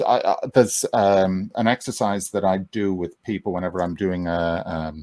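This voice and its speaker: Recorded very cleanly against a silent background, dry and close with no echo, a man with an Irish accent talks at a moderate pace. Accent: calming Irish. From Ireland. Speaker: mind coach. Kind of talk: interview. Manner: halting.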